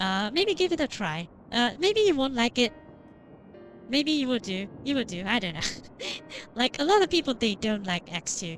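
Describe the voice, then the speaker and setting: Music plays behind a woman with a high voice who speaks at a moderate pace, pitch swinging very widely, with long pauses that come often. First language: not English. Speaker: vtuber game streamer. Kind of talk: live stream chat while gaming. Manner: halting, many fillers and repeats.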